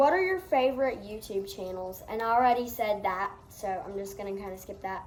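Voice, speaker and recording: A woman with a Southern US accent, fairly high pitch, ordinary pitch variation and moderate pace, amid audible room echo and noticeable background noise. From US South. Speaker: farm vlogger. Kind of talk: Q&A vlog. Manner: casual.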